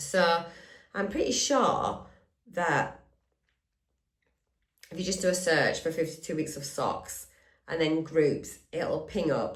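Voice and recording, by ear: A raspy, hoarse, put-on character voice talks at a fairly slow pace with long, frequent pauses. Audible echo surrounds it. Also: woman, fairly low pitch for a woman.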